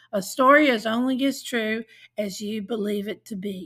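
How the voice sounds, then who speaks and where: In a very clean recording with a silent background, a woman speaks at a fairly high pitch with ordinary pitch variation and a somewhat breathy sound. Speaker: podcast host and narrator. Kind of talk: podcast intro and outro, scripted.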